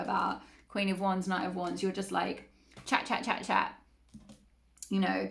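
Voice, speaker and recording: A woman speaks at a fairly quick pace in an animated tone over noticeable background noise. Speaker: tarot reader. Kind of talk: tarot reading monologue. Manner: fast; chatty, animated.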